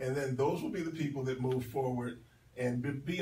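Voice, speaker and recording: With light background noise and audible room echo, a man in an American accent speaks at a very fast pace. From Philadelphia. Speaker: radio host and recruiter; radio host. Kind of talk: radio talk show. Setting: radio studio. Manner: animated. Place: studio. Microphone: camera far.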